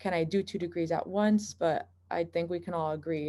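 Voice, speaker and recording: Her voice carries a dark, mellow tone, a fairly low pitch and vocal fry, with ordinary pitch variation. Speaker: medical student. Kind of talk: panel discussion.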